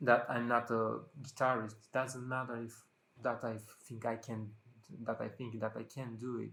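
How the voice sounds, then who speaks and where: A non-native accent with monotone, flat intonation. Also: man. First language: not English. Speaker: vlogger. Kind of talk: casual monologue to camera. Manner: halting, many fillers.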